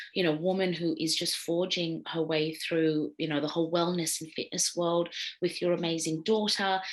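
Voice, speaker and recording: Speaking at a moderate pace with an Australian accent, a woman keeps a monotone, flat intonation in a fairly low pitch. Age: 40s. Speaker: radio host. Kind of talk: casual interview chat.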